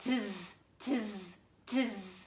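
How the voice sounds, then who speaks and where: This is a put-on character voice. It sounds female and sits at a medium pitch. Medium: read story. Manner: mocking, copycat.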